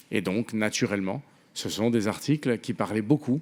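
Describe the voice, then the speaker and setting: Lively intonation marks a voice with a Spanish accent, in a very clean recording with a silent background. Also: man. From Venezuela. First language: Spanish (speaking French). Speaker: novelist. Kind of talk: panel talk. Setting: theatre stage with audience.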